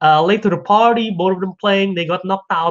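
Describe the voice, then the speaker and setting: With a non-native accent, a man speaks at a moderate pace in a high pitch and an animated tone. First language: not English. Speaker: podcast host. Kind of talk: casual solo commentary. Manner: halting, self-correcting.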